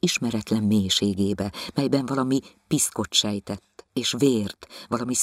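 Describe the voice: Plain reading aloud with ordinary pitch variation is heard against a quiet background.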